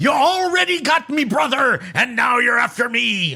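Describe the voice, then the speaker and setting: Shouting in a put-on character voice at an extremely high pitch, a man speaks at a moderate pace. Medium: actual play. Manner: aggressive, confrontational.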